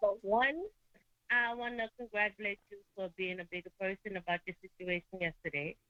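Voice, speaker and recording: A woman speaks at a medium pitch with a bright, sharp tone and ordinary pitch variation. Her moderate delivery shows big swings in loudness, and the sound is dry and close with no echo. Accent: New York. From New York, Brooklyn. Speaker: caller. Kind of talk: call-in talk show.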